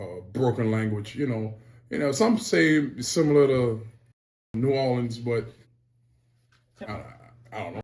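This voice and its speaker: With an American accent, a man talks at a fairly slow pace with long, frequent pauses, his medium pitch showing ordinary variation and his loudness swinging widely. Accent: Charleston Geechee dialect. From Charleston, South Carolina (Lowcountry). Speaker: rapper. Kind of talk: interview. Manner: casual, slangy.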